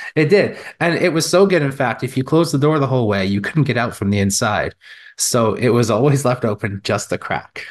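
Against a quiet background, a man with an ordinary speaking voice talks at a fairly quick pace and medium pitch, his intonation lively. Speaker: podcast producer and co-host. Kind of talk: casual chat.

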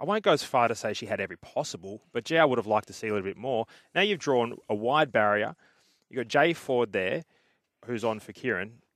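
An Australian-accented man speaks at a very fast pace in a medium pitch with lively intonation, dry and close with no echo on a very clean recording with a silent background. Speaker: racing analyst. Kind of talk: horse racing preview chat. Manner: conversational, quick.

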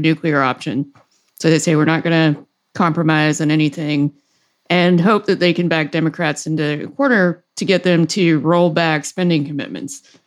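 Against a silent background in a very clean recording, a woman speaks at a moderate pace in a fairly low pitch with ordinary pitch variation. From US South. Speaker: podcast host, financial commentator.

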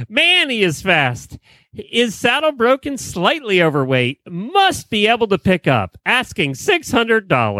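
A passage is read aloud in a natural voice.

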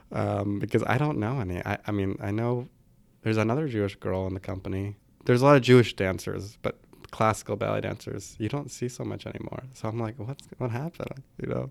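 A man with an American accent, fairly low-pitched, at a fairly quick pace with lively intonation. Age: 30s. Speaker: ballet dancer. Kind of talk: interview.

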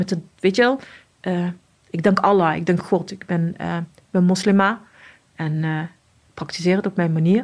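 A woman speaks in a normal speaking voice at a moderate pace. Her pitch is fairly low and her intonation fairly even. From Morocco (Casablanca). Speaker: police officer. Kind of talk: interview testimony.

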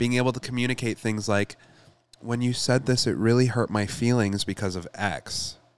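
A man's unremarkable speaking voice at medium pitch, with fairly even intonation and a moderate pace. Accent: American. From Michigan. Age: 20s. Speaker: astrologer. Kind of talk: casual chat.

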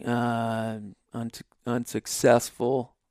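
A man with an Inland Northwest American accent, recorded dry and close with no echo, on a very clean track with a silent background. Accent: rural Inland Northwest American. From Idaho, small town on the Clearwater River. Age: 30s. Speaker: elk hunter. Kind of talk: casual interview. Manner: halting, many repeats and fillers.

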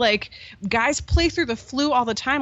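A woman with an American accent speaks at a moderate pace with lively intonation. She has an unremarkable speaking voice. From US, Pittsburgh. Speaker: hockey podcaster. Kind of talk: casual chat.

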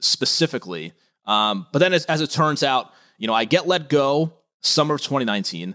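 A man speaks at a fairly quick pace in a fairly high pitch, his tone bright and sharp with vocal fry and very wide pitch swings. The sound is dry and close with no echo, on a very clean recording with a silent background. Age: 30s. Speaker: sports radio host and lawyer. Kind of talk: casual sports interview.

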